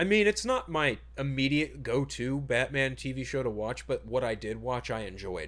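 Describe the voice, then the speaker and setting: A man at a moderate pace, on a very clean recording with a silent background. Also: hardly any pauses. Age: 30s. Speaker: podcast co-host. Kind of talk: casual chat. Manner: halting.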